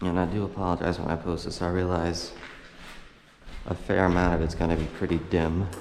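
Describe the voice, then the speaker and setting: Mumbling in a very deep, low pitch, a man uses monotone, flat intonation. Long, frequent pauses break up his speech, and audible room echo surrounds it. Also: fairly quick pace. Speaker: urban explorer vlogger. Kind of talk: casual walkthrough narration. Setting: indoors in abandoned building.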